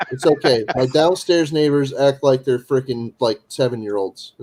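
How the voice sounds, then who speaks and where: The man's voice is medium in pitch with a dark, mellow tone and ordinary pitch variation. He speaks at a moderate pace in a dry, close sound with no echo. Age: 40s. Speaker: live stream panelist. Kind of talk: casual chat. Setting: live video stream.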